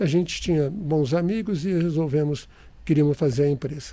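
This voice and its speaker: A somewhat breathy, dark and mellow tone at a moderate pace, with ordinary pitch variation. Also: man. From interior of São Paulo state, Brazil (Catanduva). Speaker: real estate developer and engineer. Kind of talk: interview storytelling. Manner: halting with many restarts.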